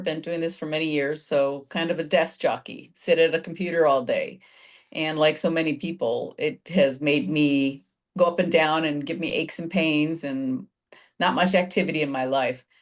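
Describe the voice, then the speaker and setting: A plain, everyday voice keeps a moderate pace, and its pitch varies in an ordinary way. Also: woman. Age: 60s. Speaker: fitness client, insurance broker. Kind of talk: testimonial interview.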